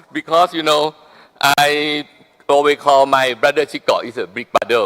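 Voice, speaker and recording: A man speaks at a moderate pace and medium pitch in a Thai accent, his tone bright and sharp. The sound is dry and close, with no echo. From Thailand. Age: 60s. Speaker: business leader. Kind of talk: speech at a business forum.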